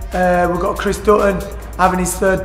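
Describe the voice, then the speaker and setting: Faint music plays in the background, and the room echo is audible. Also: man. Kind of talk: interview answer. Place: gym.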